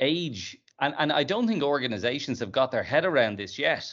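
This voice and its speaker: Fairly quick speech comes from a man with an ordinary speaking voice and ordinary pitch variation. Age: 50s. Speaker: podcast host and company CEO. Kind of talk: interview.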